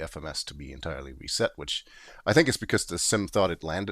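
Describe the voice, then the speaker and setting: There is vocal fry in this man's voice. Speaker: video game streamer. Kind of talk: live gameplay commentary. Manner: casual, halting with fillers.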